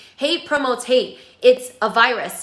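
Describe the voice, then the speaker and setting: Speech unfolds at a fairly slow pace, with noticeable background noise throughout. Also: woman. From South Korea, then US from age nine. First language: Korean. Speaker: pop singer and vlogger. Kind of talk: personal video monologue. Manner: earnest, emphatic with fillers.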